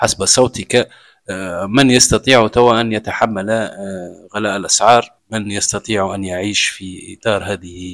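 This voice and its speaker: A man speaks in a plain, everyday voice at a fairly low pitch, with fairly even intonation and a fairly slow pace, on a very clean recording with a silent background. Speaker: podcast host. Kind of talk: interview.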